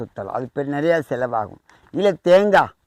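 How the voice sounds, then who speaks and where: Fairly high-pitched with lively intonation, a man talks in an unremarkable speaking voice, the sound dry and close with no echo over a quiet background. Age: 40s. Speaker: temple priest and spiritual remedy advisor. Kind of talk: instructional talk on spiritual remedies.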